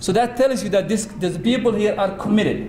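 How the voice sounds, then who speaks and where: A man with a Somali accent at a high pitch, ordinary pitch variation, audible room echo and noticeable background noise. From Somalia. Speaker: diaspora community leader. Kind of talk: conference speech. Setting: conference hall with audience. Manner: halting, with repetitions.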